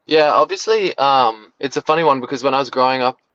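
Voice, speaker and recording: A man talks at a very fast pace, the sound dry and close with no echo against a quiet background. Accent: American. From Australia, Brisbane, Queensland. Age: 20s. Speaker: professional footballer. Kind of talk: interview. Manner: hesitant, many fillers and repetitions.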